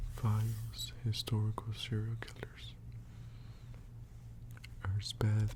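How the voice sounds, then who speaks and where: The speaker is soft-spoken. Delivery comes at a very slow pace. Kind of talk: ASMR soft-spoken book reading. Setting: close microphone recording, page-turning sounds. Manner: soft-spoken, slow.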